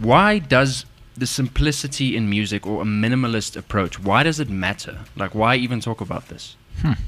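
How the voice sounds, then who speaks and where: Here is a man with a plain, everyday voice at medium pitch. His pace is moderate and his pitch varies in an ordinary way. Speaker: podcast host. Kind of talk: casual chat.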